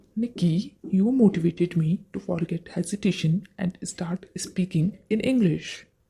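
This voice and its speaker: With hardly any pauses, a woman speaks at a fairly slow pace in a somewhat breathy, dark, mellow voice of medium pitch and ordinary pitch variation. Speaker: English practice presenter. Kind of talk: scripted dialogue practice.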